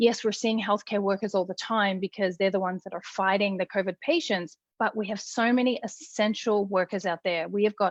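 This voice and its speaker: A woman with an Australian accent, medium in pitch, at a fairly quick pace with fairly even intonation, in a dry, close sound with no echo and a quiet background. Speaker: critical care nurse. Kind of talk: casual interview chat. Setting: live video call. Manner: runs words together.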